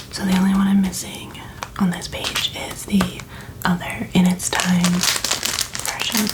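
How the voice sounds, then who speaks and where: Fairly slow whispering broken by long, frequent pauses, over noticeable background noise. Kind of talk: ASMR, soft-spoken talk to camera. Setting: close ASMR microphone. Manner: soft-spoken.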